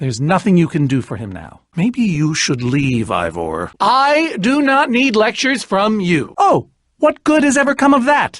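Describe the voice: A man's put-on character voice, high-pitched and fairly bright, with big pitch swings, a fairly slow pace and few pauses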